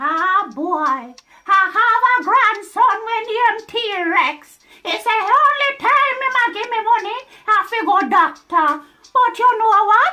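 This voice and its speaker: A put-on character voice, female-sounding and extremely high in pitch, at a fairly slow pace. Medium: role play.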